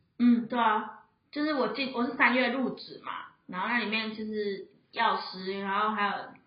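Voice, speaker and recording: A woman's fairly high voice at a moderate pace, fairly even in intonation, with audible room echo. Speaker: pharmacy assistant. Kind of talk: casual chat. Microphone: too far from mic.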